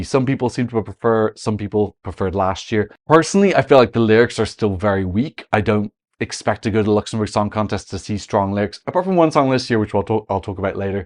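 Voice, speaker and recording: A man speaks at a very fast pace in an Irish accent. His pitch is fairly low, and the background is quiet. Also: dry, close sound with no echo. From Ireland. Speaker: Eurovision analyst, content creator. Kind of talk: video commentary analysis.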